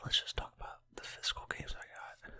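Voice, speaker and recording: Whispering at a moderate pace. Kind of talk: ASMR rambling collection talk. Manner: whispered.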